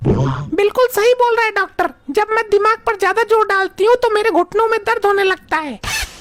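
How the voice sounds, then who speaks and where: Using a cartoonish character voice, a woman speaks at a fairly quick pace with an extremely high pitch and ordinary pitch variation. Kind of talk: comic overacting. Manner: blunt, rustic.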